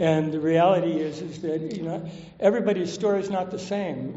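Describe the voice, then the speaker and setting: With an American accent, a man talks at a moderate pace and fairly even intonation, with noticeable background noise and audible room echo. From Southern California. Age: 70s. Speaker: recovering alcoholic speaker. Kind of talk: recovery talk testimony. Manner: casual, many fillers.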